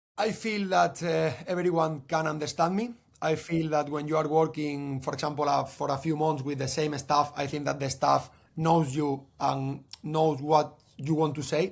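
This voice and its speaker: With a Spanish accent, a man speaks at a moderate pace in a fairly high pitch, somewhat breathy and with fairly even intonation. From Spain, Cadiz. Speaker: football coach. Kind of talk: podcast interview. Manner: halting.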